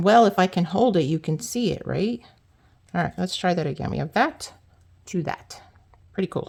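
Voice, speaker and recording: A woman with vocal fry speaks at a moderate pace and medium pitch, with ordinary pitch variation and long, frequent pauses. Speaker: card-making crafter. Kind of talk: tutorial. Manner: casual, chatty.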